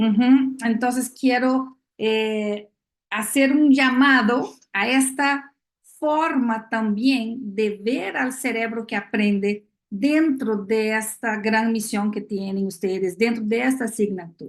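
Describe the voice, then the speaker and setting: A somewhat breathy, fairly high female voice with ordinary pitch variation and a very slow pace. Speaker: neuroscience education expert speaker. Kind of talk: lecture. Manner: many filler hesitations.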